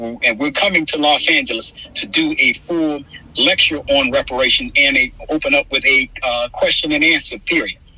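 With an American accent, a man talks against noticeable background noise. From Florida, St. Petersburg. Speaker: activist and author. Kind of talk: interview.

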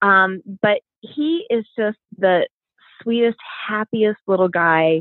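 A woman speaks at a medium pitch. Hers is an unremarkable speaking voice. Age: 40s. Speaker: cancer survivor and nonprofit founder. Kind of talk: interview.

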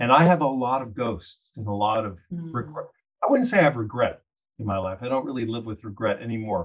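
Somewhat breathy speech with lively intonation moves at a fairly quick pace, with big swings in loudness. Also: man, medium pitch for a man. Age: 60s. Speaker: longtime journalist. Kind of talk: panel discussion, personal reflection.

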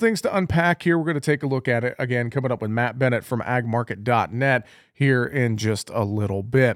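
An unremarkable speaking voice moves at a fairly quick pace with ordinary pitch variation in a very clean recording with a silent background. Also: man. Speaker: agricultural radio host. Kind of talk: radio market report and interview. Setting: radio studio.

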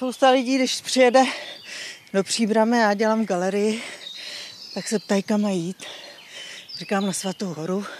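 Amid noticeable background noise, a woman with a fairly high pitch and ordinary pitch variation talks at a moderate pace, with long, frequent pauses. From Czech Republic, Příbram. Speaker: gallery owner. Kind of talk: casual chat. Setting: outdoors.

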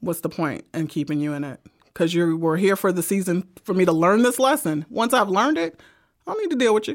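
Here a woman speaks in a normal speaking voice at a medium pitch. Her intonation is lively and her pace fairly quick. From Brooklyn, New York. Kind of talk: casual chat about faith. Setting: studio.

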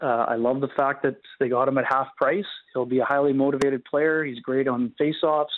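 A man talks at a moderate pace in a normal speaking voice. His pitch is fairly high and his intonation fairly even. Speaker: hockey writer. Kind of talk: radio interview. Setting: phone or remote line.

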